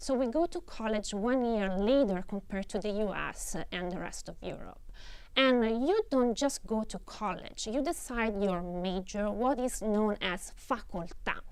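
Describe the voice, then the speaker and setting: Her intonation lively, a woman with a fairly high pitch speaks at a fairly slow pace. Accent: Italian. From Italy. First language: Italian. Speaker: professor. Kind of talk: lecture. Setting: studio. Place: stage. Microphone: lapel.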